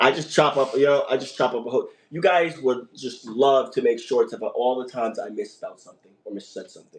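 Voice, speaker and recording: A man talks in an animated tone at a very fast pace. His loudness swings widely. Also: hardly any pauses. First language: not English. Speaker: podcast host. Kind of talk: casual chat. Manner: halting.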